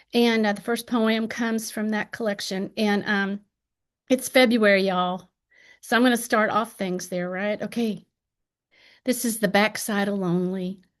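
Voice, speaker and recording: Against a quiet background, a woman with an Appalachian accent speaks at a fairly high pitch and a moderate pace, her intonation fairly even. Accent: Appalachian twang. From Appalachian Ohio. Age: 60s. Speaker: poet. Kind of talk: poetry reading.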